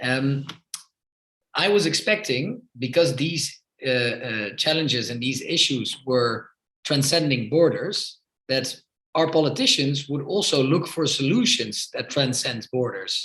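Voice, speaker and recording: A man with a Dutch accent, fairly high-pitched, speaking at a fairly slow pace with ordinary pitch variation and a bright, sharp tone. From Netherlands, Amsterdam. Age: 30s. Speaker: politician. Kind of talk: podcast interview.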